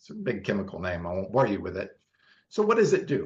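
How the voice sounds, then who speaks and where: A man's voice sits at a medium pitch and is somewhat breathy. His pitch swings very widely. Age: 60s. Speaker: vegan bodybuilding champion. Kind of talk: interview answer explaining nutrition science.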